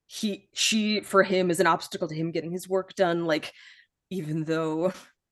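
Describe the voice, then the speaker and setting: A woman with an American accent speaks in an ordinary speaking voice, pitched fairly low. Her intonation stays fairly even and her pace is fairly slow. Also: quiet background. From US Midwest. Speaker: journalist. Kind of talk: casual chat.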